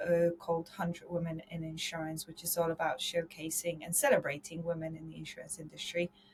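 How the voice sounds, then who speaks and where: A woman with a fairly low pitch speaks with a slight Polish accent. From Poland. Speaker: insurance consultant and podcast host. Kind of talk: podcast interview.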